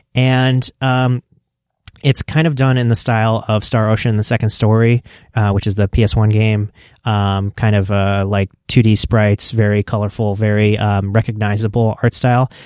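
Over a silent background in a very clean recording, a man with an unremarkable speaking voice and a fairly low pitch speaks at a moderate pace. His intonation is fairly even, his loudness very even, and the sound dry and close with no echo. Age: 30s. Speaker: podcast host. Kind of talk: solo podcast commentary. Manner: frequent fillers and repetitions.

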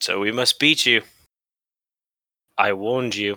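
Using a put-on character voice, a man speaks at medium pitch and a moderate pace, recorded very cleanly with a silent background and a dry, close sound with no echo. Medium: actual play. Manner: formal, archaic.

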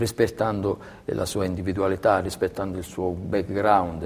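With a very deep, low pitch, a man delivers his words at a moderate pace. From Calabria, southern Italy. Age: 40s. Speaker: athletic trainer. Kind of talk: interview. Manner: halting, many repetitions.

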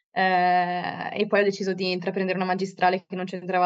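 This woman's voice sits at a fairly low pitch. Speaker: student representative. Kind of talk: casual interview. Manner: hesitant, with fillers.

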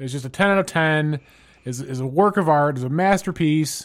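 In a normal speaking voice, someone talks at a moderate pace with lively intonation, in a very clean recording with a silent background. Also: man. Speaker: team captain, podcast co-host, gamer. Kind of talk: casual comedic banter.

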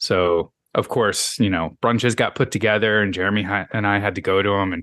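A man with a fairly low pitch speaks in a bright, sharp tone at a moderate pace. His intonation is fairly even, and the background is quiet. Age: 40s. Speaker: podcast host. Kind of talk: interview.

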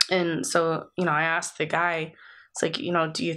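This woman has an American accent and a fairly low pitch, speaking at a moderate pace. Her tone is bright and sharp, set against a quiet background. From USA. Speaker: podcast co-host. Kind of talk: casual chat. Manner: coughing.

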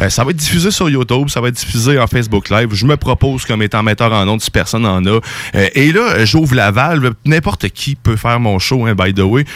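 Pitch varies in an ordinary way as the talking runs fairly quickly, with hardly any pauses. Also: man, medium pitch for a man. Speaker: show creator. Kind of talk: casual chat. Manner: loud.

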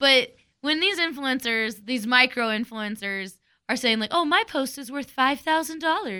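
Projecting her voice, a woman speaks at a moderate pace with a high pitch, a bright, sharp tone and lively intonation. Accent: American. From Texas. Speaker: radio morning show co-host. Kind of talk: casual chat.

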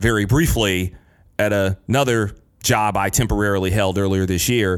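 With an American accent, a man speaks in an unremarkable speaking voice at a fairly low pitch. His intonation is fairly even and his pace moderate. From Michigan. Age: 30s. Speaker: podcast host. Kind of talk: casual interview. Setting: doctor's exam room.

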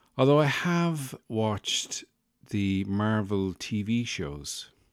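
A man with an Irish accent speaks with lively intonation in a very clean recording with a silent background. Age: 40s. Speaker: podcast host. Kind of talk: casual comedic monologue. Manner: animated.

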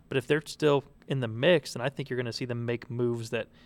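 With a dry, close sound and no echo, a man with an unremarkable speaking voice talks at a fairly quick pace, medium pitch and fairly even intonation. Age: 20s. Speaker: sports columnist. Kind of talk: casual sports chat. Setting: kitchen studio.

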